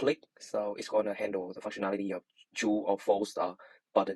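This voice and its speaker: Recorded with a dry, close sound and no echo, a man speaks at a fairly low pitch with a Vietnamese accent. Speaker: student. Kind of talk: tutorial. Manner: halting, many fillers.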